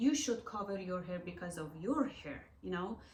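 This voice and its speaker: A woman with a Persian accent, somewhat breathy, at a moderate pace with lively intonation and audible room echo. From Iran. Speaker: artist and gallery owner. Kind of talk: interview. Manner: halting.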